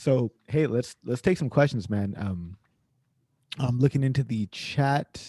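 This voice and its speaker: With a Californian accent, a man speaks at a moderate pace in a dark, mellow tone, the sound dry and close with no echo. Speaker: data science career coach, show host. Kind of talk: casual group chat on video call.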